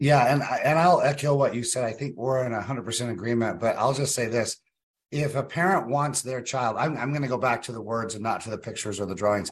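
Somewhat breathy and medium-pitched, a man with an American accent talks at a fairly quick pace with ordinary pitch variation. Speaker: state senator, co-host. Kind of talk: casual political commentary.

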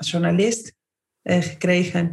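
A woman with a fairly low pitch talks at a fairly slow pace in a somewhat breathy voice. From Argentina. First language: Spanish (speaking Dutch). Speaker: company CEO. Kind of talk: interview. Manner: animated.

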